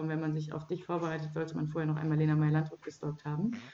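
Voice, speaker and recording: Very fast speech comes from a woman whose fairly low voice carries a dark, mellow tone. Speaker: podcast host. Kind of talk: casual chat. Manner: loud.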